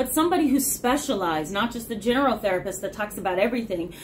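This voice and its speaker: This is a woman speaking. There is light background noise. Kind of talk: casual educational talk to camera. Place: office. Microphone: phone near.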